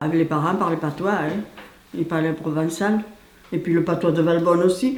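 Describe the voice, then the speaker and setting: Against noticeable background noise, a woman with a fairly low pitch keeps her loudness very even. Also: ordinary pitch variation, moderate pace. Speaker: village resident. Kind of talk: interview answer. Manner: casual, reminiscing.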